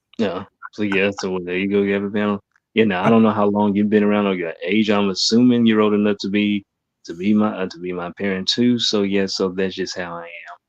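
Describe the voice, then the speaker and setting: Words come out at a very fast pace in a monotone, flat delivery with a Southern US accent. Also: man, fairly low pitch for a man. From US South. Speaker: guest panelist. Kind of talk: casual chat.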